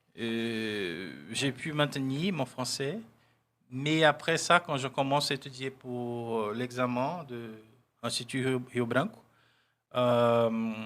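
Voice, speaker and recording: Spoken at a very slow pace with ordinary pitch variation, this very clean recording has a silent background. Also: man, medium pitch for a man. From Brazil, Ilhéus, Bahia. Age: 40s. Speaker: diplomat. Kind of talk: interview.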